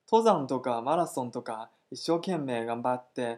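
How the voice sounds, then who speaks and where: A man with a Chinese accent speaks very slowly, his intonation lively. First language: Chinese (speaking Japanese). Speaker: Chinese language teacher. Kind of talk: language lesson dialogue.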